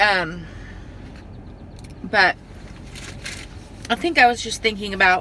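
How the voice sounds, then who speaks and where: A woman speaks at a medium pitch with lively intonation, leaving long, frequent pauses. Noticeable background noise runs behind her. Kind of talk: casual talk to camera.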